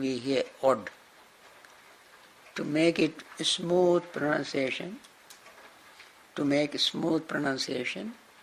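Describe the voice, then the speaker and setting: Light background noise sits under a man with a Sri Lankan accent. He talks at a very slow pace, his fairly high pitch showing ordinary variation. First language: Sinhala. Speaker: Buddhist monk and teacher; monk teacher. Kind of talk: dharma class lecture; lecture. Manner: halting, repeats and restarts words. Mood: warm, smiling. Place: classroom.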